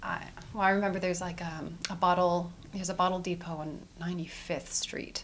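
A woman with a Western Canadian accent speaks in a fairly low pitch. Her moderate pace carries audible room echo. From Edmonton, Canada. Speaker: community event organizer. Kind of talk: interview.

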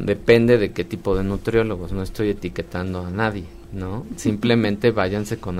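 Over background music, a man talks at a moderate pace and a fairly low pitch with fairly even intonation. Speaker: molecular medicine specialist. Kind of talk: radio interview.

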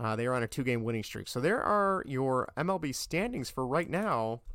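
Very cleanly recorded against a silent background, a man with an ordinary speaking voice talks at a fairly quick pace and medium pitch. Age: 30s. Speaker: podcast host. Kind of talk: casual solo sports commentary.

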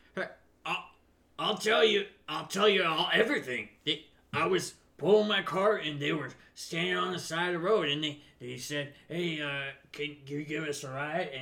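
Using a put-on character voice, a man speaks at a fairly high pitch and a moderate pace, with long, frequent pauses. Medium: actual play. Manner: complaining, agitated.

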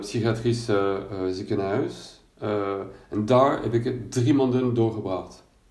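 The man has a dark, mellow tone and a medium pitch. He speaks at a moderate pace with fairly even intonation. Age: 50s. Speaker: coach for people with bipolar disorder. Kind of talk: personal testimony monologue. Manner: halting, many hesitations and repetitions.

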